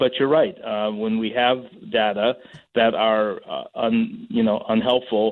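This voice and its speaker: At a fairly slow pace, a man with an unremarkable speaking voice keeps a medium pitch and fairly even intonation. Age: 60s. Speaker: transportation attorney. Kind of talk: radio interview. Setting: phone line on radio show.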